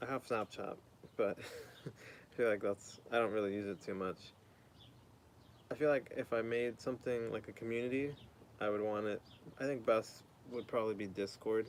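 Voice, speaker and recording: A man with an American accent, medium pitch, fairly even intonation, and long, frequent pauses. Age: 20s. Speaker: streamer. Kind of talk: casual chat. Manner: fast.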